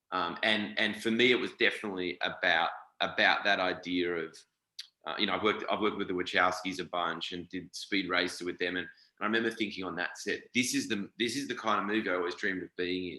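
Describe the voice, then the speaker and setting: With an Australian accent, a man talks at a very fast pace in a very deep, low pitch, his tone bright and sharp and his intonation fairly even. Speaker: actor. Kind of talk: interview.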